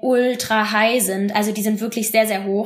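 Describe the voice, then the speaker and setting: A woman with a fairly high voice talks at a moderate speed in a monotone, flat way, with noticeable background noise. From western Germany, Bonn. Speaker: former exchange student. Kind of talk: podcast interview.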